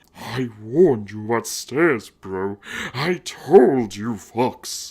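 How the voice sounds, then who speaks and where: A man speaks in a put-on character voice at a very slow pace. His pitch is medium and his delivery is growling. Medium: read story. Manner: casual, slangy.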